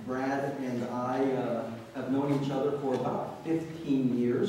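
A man's medium-pitched voice at a very slow pace, with strong room echo and light background noise. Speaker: pastor. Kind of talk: church announcements and introduction. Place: church.

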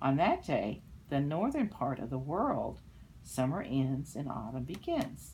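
A woman speaks at a very slow pace. Light background noise sits behind her. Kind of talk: read-aloud storytelling with explanations. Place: home room. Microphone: phone near.

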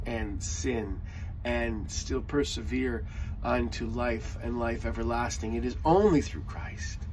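A man speaks at a fairly slow pace. Light background noise can be heard. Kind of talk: sermon. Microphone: phone near.

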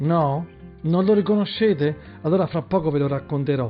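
Faint music plays in the background as a man with a fairly high pitch speaks at a moderate pace with ordinary pitch variation. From Terracina, Italy. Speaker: schoolteacher. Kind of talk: casual talk to camera. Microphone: webcam.

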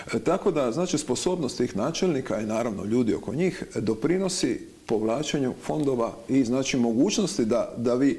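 This man's voice has a dark, mellow tone and lively intonation, moving at a fairly quick pace with hardly any pauses. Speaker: TV show host. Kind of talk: TV interview. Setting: studio. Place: studio. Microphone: lapel.

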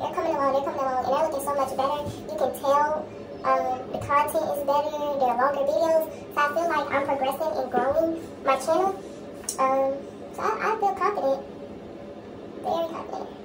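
A high-pitched female voice at a fairly quick pace, with ordinary pitch variation and noticeable background noise. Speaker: beauty vlogger. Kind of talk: casual vlog chat. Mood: relaxed, confident. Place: home room. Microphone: phone near.

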